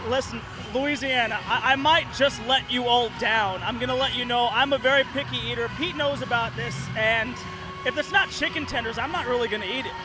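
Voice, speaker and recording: Against noticeable background noise, a man speaks in a raised, projected voice at an extremely high pitch and a fairly quick pace, with ordinary pitch variation. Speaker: sports reporter. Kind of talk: TV news standup.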